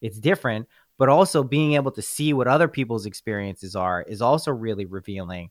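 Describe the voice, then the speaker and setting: Using an unremarkable speaking voice at a medium pitch, a man talks at a fairly quick pace with lively intonation and big swings in loudness, on a very clean recording with a silent background and a dry, close sound with no echo. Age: 30s. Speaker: podcast host, guest. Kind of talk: casual chat.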